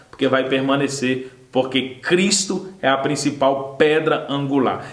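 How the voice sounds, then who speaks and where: Noticeable background noise and audible room echo around a man talking at a fairly slow pace. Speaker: Sunday school Bible teacher. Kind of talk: Bible lesson. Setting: recorded video lesson.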